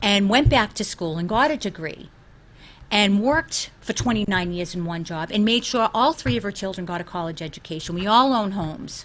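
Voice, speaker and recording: Lively intonation and a fairly quick pace in a Boston accent. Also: woman, medium pitch for a woman. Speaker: school committee candidate. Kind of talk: interview. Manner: animated.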